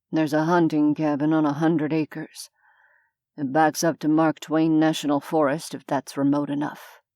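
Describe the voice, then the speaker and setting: A growling, put-on character voice from a woman, very deep and low in pitch, monotone and flat, on a very clean recording with a silent background. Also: moderate pace. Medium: read story. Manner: curt, sardonic.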